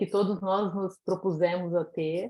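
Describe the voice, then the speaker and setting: Dark and mellow in tone, a woman's voice unfolds at a fairly slow pace. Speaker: educator and author. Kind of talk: conference talk.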